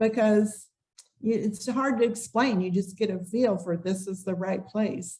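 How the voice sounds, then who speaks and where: A woman's dark, mellow, somewhat breathy voice at a fairly slow pace with fairly even intonation. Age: 60s. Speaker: relocation tour business owner. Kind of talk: podcast interview.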